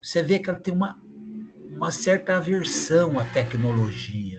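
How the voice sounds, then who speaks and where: Pitched fairly high, a man talks at a fairly slow pace with very wide pitch swings. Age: 60s. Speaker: retired volunteer student. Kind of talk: casual discussion.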